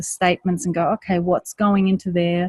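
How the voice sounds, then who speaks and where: The woman's voice is dark and mellow, somewhat breathy, at a medium pitch and a fairly quick pace. The sound is dry and close, with no echo. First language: not English. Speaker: online course coach. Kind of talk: live Q&A call. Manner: warm, encouraging.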